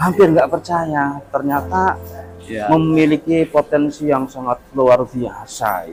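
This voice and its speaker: Over music in the background, a man with a fairly high pitch talks at a very slow pace with lively intonation. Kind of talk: interviewer commentary to viewers.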